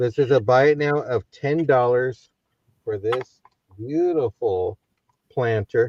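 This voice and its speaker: Speaking at a very slow pace with long, frequent pauses, a man with a medium pitch uses ordinary pitch variation in a dry, close sound with no echo. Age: 70s. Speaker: online auction seller. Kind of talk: live-stream sales pitch. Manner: brisk.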